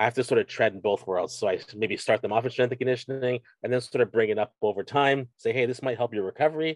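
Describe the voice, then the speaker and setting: This voice belongs to a man. His delivery is fairly quick. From Canada, Scarborough, Ontario. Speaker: strength coach and university teacher. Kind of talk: casual interview chat. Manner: halting, many repeated words and fillers.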